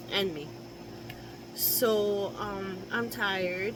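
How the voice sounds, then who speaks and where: At a very slow pace, a woman with a medium pitch and ordinary pitch variation speaks amid noticeable background noise and audible room echo. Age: 60s. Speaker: caregiver vlogger. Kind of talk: casual chat. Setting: home office.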